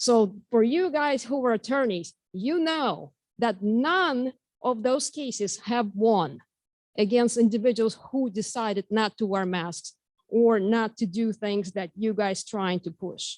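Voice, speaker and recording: With a Russian accent, a woman speaks at a fairly slow pace and fairly high pitch with lively intonation, the sound dry and close with no echo over a quiet background. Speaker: member of the public giving comment. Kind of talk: public comment at school board meeting. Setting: meeting hall with microphone. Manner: halting. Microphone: too quiet, not speaking into microphone.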